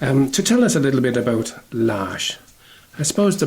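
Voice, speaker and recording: With a Limerick accent, a man speaks at a moderate pace with very wide pitch swings. Background noise is noticeable. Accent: Irish, Limerick. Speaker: radio host. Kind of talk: radio interview. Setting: radio studio.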